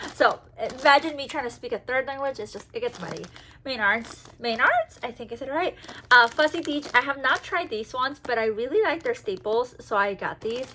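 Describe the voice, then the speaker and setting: A high-pitched woman speaks fairly quickly in a raised, projected voice, animated and lively in intonation, her loudness swinging widely over noticeable background noise. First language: Spanish. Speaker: travel and Disney vlogger. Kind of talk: casual haul video talk. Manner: chatty, animated.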